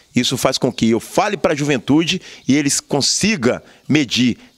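A man speaks against a quiet background. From Brazil, Juiz de Fora (Minas Gerais); Minas Gerais, Brazil. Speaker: activist and former city council candidate; council candidate. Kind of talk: interview. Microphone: handheld.

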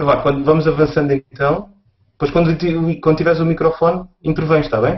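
Over music in the background, a man with a European Portuguese accent talks at a fairly quick pace in a fairly high, monotone voice with flat intonation. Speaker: podcast host. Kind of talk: casual chat. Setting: video call.

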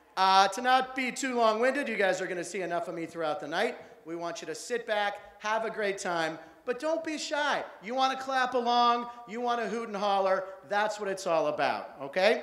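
A man speaks at a moderate pace with lively intonation. Audible room echo hangs around his voice. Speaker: show host. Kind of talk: stage introduction to audience. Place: stage. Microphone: handheld.

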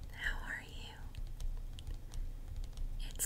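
A woman speaks very slowly at an extremely high pitch, her intonation monotone and flat, over light background noise. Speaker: ASMR creator. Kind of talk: casual talk to camera. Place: home room. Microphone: earbuds.

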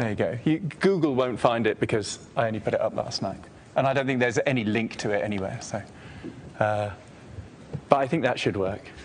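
A man at a fairly quick pace, with ordinary pitch variation and light background noise. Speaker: lecturer. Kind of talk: lecture. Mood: relaxed, joking. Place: classroom. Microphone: lapel.

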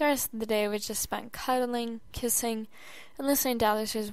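Fairly even intonation runs through this natural reading voice.

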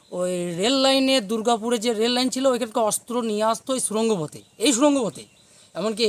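Using ordinary pitch variation, a man speaks at an extremely high pitch. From West Bengal, near Durgapur; West Bengal. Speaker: local resident; local guide, priest. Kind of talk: interview. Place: forest. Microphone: phone near.

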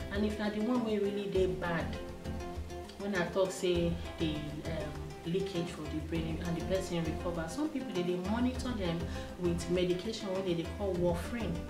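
A woman speaks at a moderate pace while noticeable background noise goes on. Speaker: health explainer. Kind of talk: health advice talk to camera. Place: studio.

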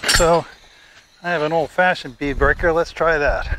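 Moderately paced, a man speaks at a fairly high pitch with a fairly bright tone.

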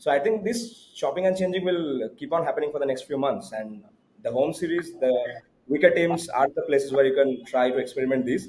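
A man's fairly high voice in a Bengali accent, at a fairly quick pace with lively intonation. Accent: Indian English, Bengali. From India, Bengal. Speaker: cricket podcast co-host. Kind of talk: casual chat. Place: home room. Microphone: video call.

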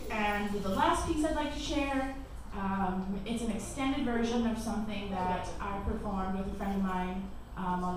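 A woman speaks amid strong room echo. Light background noise is present. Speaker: spoken word poet. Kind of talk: casual stage banter. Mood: nervous, self-deprecating, warm. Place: cafe. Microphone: pa.

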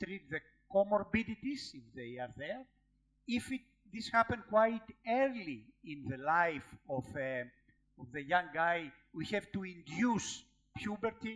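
Very wide pitch swings mark this fairly slow speech in a Greek accent. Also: man. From Greece. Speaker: professor and endocrinologist giving a lecture. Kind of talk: lecture. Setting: conference lecture hall with audience questions. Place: hall.

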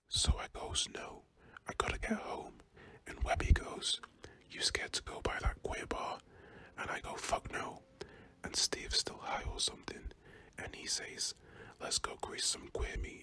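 Whispering in a British accent, the speaker leaves long, frequent pauses. The loudness swings a great deal. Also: man, moderate pace. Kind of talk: audiobook reading. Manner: whispered.

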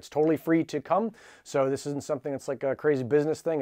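A man talks fairly quickly. Little can be heard behind him. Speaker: maker channel host. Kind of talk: casual announcement to camera. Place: workshop. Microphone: lapel.

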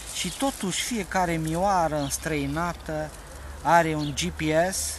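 A man's fairly high-pitched voice at a very slow pace, with ordinary pitch variation and light background noise. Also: dry sound with no echo. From Romania. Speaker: poet. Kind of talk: poetry reading, satirical prose-poem read aloud. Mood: calm, wry. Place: open country.

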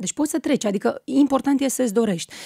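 With a dark, mellow tone, a woman speaks at a moderate pace in a dry sound with no echo and a quiet background. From Moldova, rural village. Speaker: TV news presenter. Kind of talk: interview. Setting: radio studio. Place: studio. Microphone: studio mic.

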